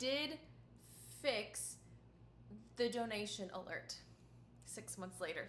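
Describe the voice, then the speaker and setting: A raised, projected voice, bright and sharp in tone, at a very slow pace with very wide pitch swings and audible room echo. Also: woman. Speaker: violinist streamer. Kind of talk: casual livestream chat. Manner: casual, chatty.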